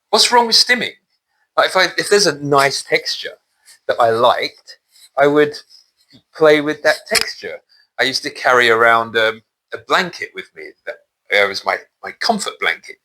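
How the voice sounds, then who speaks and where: The speaker has a British accent and a moderate pace, with long, frequent pauses. Loudness swings widely. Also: man. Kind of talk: personal testimony monologue. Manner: halting, with repetitions.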